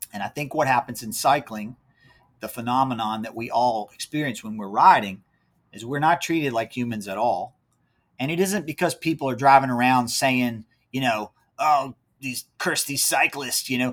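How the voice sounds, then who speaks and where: With an American accent and a normal speaking voice, the speaker goes at a moderate pace with ordinary pitch variation and big swings in loudness, on a very clean recording with a silent background. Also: man, medium pitch for a man. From Central Virginia, rural county near Charlottesville. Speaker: race organizer and apparel company founder. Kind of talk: casual interview.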